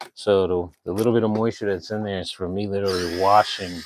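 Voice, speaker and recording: The speaker is a man with a fairly low pitch. He talks at a fairly quick pace. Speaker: vlogger doing a live stream. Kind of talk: casual live-stream tutorial. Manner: quiet while focusing.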